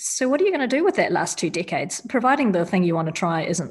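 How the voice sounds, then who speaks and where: A woman speaks with a New Zealand accent. Her voice is somewhat breathy, with ordinary pitch variation. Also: very clean recording, silent background. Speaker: surgeon. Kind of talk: interview. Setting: studio.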